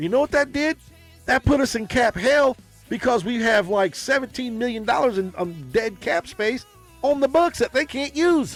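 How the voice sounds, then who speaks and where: Over music in the background, a man with an extremely high pitch talks at a moderate pace, the sound dry and close with no echo. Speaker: sports podcast host. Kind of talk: casual talk to camera.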